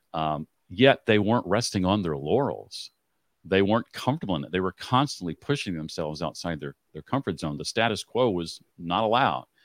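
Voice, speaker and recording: This man's very deep, low voice moves at a fairly quick pace with lively intonation. The sound is dry and close, with no echo. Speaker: author and podcast host, former radio host. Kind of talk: interview on a livestreamed show.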